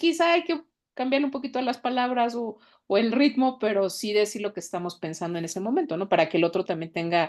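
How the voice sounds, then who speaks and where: Over a quiet background, a woman talks at a fairly quick pace. Her pitch swings very widely. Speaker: podcast panelist. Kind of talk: casual chat. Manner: fast.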